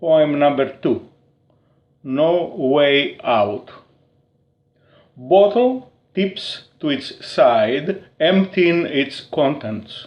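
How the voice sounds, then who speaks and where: A man with a Greek accent, very slow and broken by long, frequent pauses, with lively intonation. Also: fairly high pitch for a man. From Crete, Greece. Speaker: poet. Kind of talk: poetry reading.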